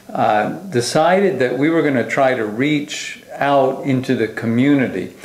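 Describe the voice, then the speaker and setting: Recorded with audible room echo and noticeable background noise, a man speaks at medium pitch with an American accent. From US Northeast, Long Island, New York. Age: 50s. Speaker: pastor. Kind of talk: testimony. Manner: hesitant, many fillers.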